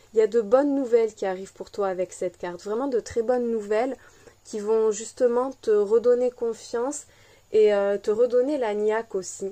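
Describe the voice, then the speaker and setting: Her voice fairly high with a dark, mellow tone, a woman speaks at a moderate pace with fairly even intonation. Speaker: tarot card reader. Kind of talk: collective tarot reading.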